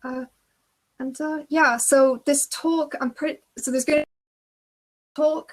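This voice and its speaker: The recording is very clean, with a silent background. A woman speaks at a moderate pace with fairly even intonation. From Belgium. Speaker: games producer. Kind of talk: conference talk. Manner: casual, many filler words.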